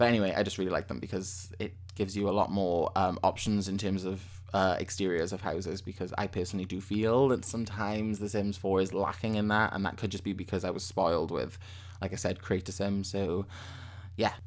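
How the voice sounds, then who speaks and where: Speaking in a British accent, a man goes at a fairly quick pace with a very deep, low pitch and monotone, flat intonation. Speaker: gaming YouTuber. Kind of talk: gameplay commentary. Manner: fast; rambling, self-correcting.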